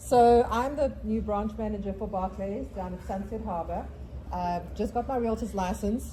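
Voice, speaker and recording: At a moderate pace, a woman with a South African accent speaks amid noticeable background noise and audible room echo. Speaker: real estate agent. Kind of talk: property presentation at a real estate meeting.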